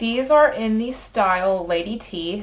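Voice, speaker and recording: Lively intonation carries the very slow speech over noticeable background noise. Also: woman. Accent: American. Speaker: beauty vlogger. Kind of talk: tutorial. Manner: casual, hesitant with fillers.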